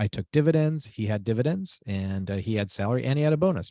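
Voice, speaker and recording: Lively intonation in a dark, mellow tone, with a dry, close sound with no echo and a quiet background. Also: man. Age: 60s. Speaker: entrepreneur and author. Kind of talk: interview. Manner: casual, repetitive with false starts.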